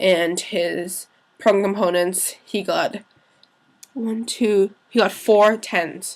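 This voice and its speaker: This woman's voice sits at a medium pitch and has ordinary pitch variation. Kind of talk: casual talk to camera.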